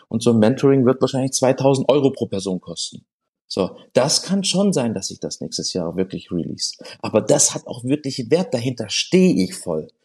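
With vocal fry and a dark, mellow tone, a man speaks at medium pitch, his voice making very wide pitch swings. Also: moderate pace. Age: 40s. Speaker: restaurateur and social media creator. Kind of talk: interview. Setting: studio.

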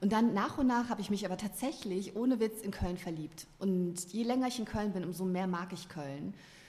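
A somewhat breathy woman's voice at a medium pitch, with ordinary pitch variation and hardly any pauses. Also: moderate pace. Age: 40s. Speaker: novelist. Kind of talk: casual chat. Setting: studio.

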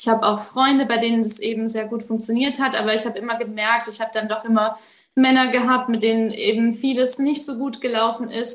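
A woman's fairly high, monotone voice with flat intonation, at a fairly quick pace. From Baden-Württemberg, Germany. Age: 20s. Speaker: coaching client. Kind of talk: interview testimony.

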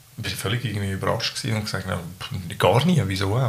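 A man talking at a very fast pace with ordinary pitch variation, amid noticeable background noise. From Switzerland, Zurich area, Balkan family. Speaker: local politician. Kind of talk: casual debate. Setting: home kitchen.

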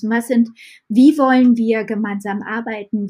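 Somewhat breathy, a woman's voice has a fairly high pitch. She speaks at a fairly slow pace with fairly even intonation. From western Germany, Düren near Aachen. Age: 30s. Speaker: market gardener. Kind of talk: casual chat.

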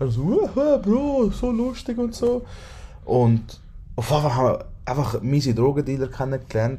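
At a fairly slow pace, a man speaks in a fairly high, somewhat breathy voice with a dark, mellow tone and very wide pitch swings. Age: 20s. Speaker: podcast host. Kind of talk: casual chat.

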